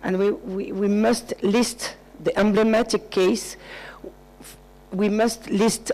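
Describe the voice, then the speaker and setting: Speaking very slowly with long, frequent pauses, a woman with a non-native accent has a dark, mellow tone, monotone, flat intonation and very even loudness. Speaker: conference delegate. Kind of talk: conference discussion. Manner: halting.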